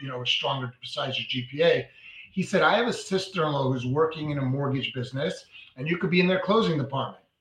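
A man with a New York accent, fairly high-pitched, lively in intonation and at a fairly quick pace, over noticeable background noise. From New York (Brooklyn). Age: 40s. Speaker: mortgage broker. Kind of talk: interview.

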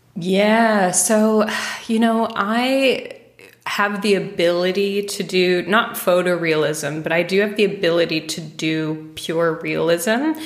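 With an American accent, a woman speaks at a very slow pace. Her pitch variation is ordinary, and background noise is noticeable. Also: medium pitch for a woman. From United States. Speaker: painter. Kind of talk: casual interview conversation.

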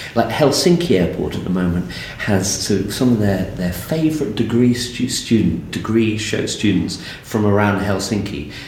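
A man with an English accent talks at a fairly low pitch with lively intonation. Noticeable background noise sits behind him. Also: moderate pace. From southern England. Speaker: architect and experience designer. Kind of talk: interview.

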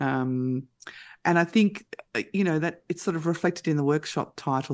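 A woman talks with an Australian accent at a fairly low pitch. The background is quiet. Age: 50s. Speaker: mental health services manager. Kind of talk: radio interview.

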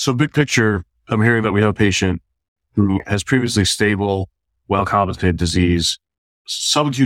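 An unremarkable speaking voice, this man with an American accent and fairly low pitch talks at a moderate pace, dry and close with no echo, on a very clean recording with a silent background. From Chicago, Illinois. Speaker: cardiology fellow. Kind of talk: case discussion.

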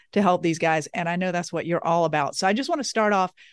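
With a Southern US accent, a woman speaks at a fairly low pitch in a dry, close recording with no echo and a quiet background. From US South. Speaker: podcast host. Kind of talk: interview, conversational.

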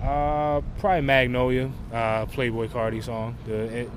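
A man at a medium pitch with fairly even intonation, audible room echo and noticeable background noise. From New Jersey. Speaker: college football player. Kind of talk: interview. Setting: outdoors at practice.

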